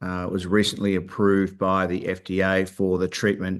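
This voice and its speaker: This man has an Australian accent and a fairly low pitch. He speaks at a moderate pace against a quiet background. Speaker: company founder and executive. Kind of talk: investor presentation. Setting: virtual webcast. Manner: hesitant, many filler words.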